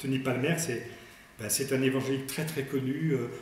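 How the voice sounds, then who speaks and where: Audible room echo and noticeable background noise accompany a man's speech. He talks at a moderate pace. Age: 60s. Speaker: priest. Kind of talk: religious talk. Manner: hesitant.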